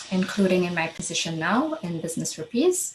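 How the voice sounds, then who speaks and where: A woman at medium pitch, somewhat breathy, at a fairly quick pace. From Trinidad and Tobago. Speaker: program manager. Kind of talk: panel discussion.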